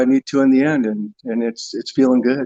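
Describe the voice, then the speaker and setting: A man with a medium pitch and a dark, mellow tone is heard in a dry, close sound with no echo. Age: 60s. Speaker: viewer calling into a live show. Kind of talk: casual chat. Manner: halting.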